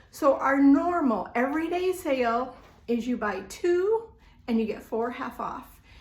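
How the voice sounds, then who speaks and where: Fairly slow and animated, a woman with a high pitch and very wide pitch swings speaks in a room with audible echo. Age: 60s. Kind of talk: live-stream sales presentation.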